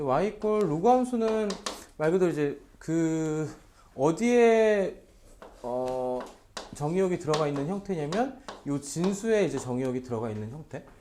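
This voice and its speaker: Pitched high for a man, his voice rises and falls in very wide swings. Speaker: math tutor. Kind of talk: lecture. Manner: fast.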